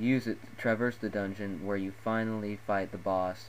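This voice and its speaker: This man has an ordinary speaking voice, fairly low in pitch, with fairly even intonation and a moderate pace. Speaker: gaming video narrator. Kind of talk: game ranking voice-over. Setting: low-quality home recording.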